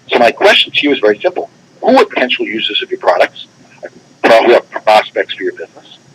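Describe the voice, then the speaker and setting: With no echo at all, the man sounds dry and close. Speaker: tax expert presenter. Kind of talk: webinar presentation. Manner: fast; animated.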